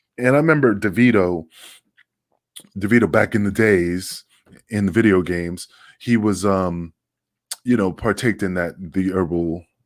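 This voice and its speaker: Recorded very cleanly against a silent background, a man with a New York accent and a fairly low pitch speaks at a moderate pace with ordinary pitch variation and long, frequent pauses. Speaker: podcast co-host. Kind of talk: casual chat.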